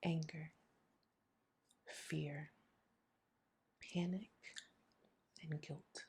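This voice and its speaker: Somewhat breathy delivery in a monotone, flat intonation. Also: woman. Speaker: grief vlogger. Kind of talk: personal testimony vlog.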